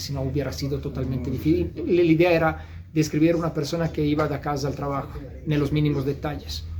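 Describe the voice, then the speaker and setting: A man speaks with an Italian accent. There is noticeable background noise and audible room echo. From Italy. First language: Italian (speaking Spanish). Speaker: novelist. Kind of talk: interview. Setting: bookstore. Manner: halting.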